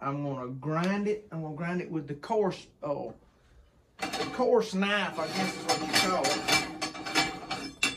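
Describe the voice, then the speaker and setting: Over light background noise, a man with a Southern US accent talks at a high pitch with lively intonation. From US South. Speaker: hunter and home cook. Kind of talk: cooking tutorial. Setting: outdoor kitchen. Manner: casual, folksy. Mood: relaxed, easygoing. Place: kitchen. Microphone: camera far.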